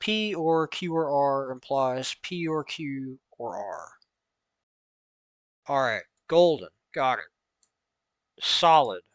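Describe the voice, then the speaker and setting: Very slow and fairly high-pitched, a man with a Southern US accent speaks with lively intonation and long, frequent pauses. The sound is dry and close with no echo, over a quiet background. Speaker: instructor explaining logic.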